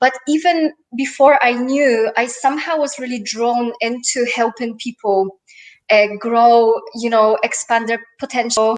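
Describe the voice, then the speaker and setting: This woman has a high-pitched voice. Her intonation stays fairly even. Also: fairly slow pace. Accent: slight Polish. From Poland. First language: Polish. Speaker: life and business coach. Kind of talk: interview. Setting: live stream.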